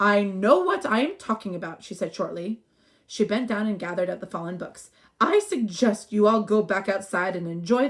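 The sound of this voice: An unforced reading voice, its pitch variation ordinary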